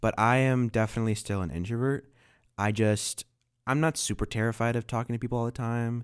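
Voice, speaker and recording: In a very clean recording with a silent background, a man with a plain, everyday voice speaks at a fairly quick pace, medium in pitch and fairly even in intonation. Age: 20s. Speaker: podcast co-host. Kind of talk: casual chat.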